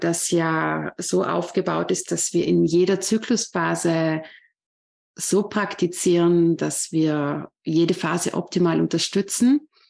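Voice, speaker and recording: A woman at a fairly low pitch, speaking very slowly, over a quiet background. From Austria, Vorarlberg. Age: 30s. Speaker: yoga teacher. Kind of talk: interview.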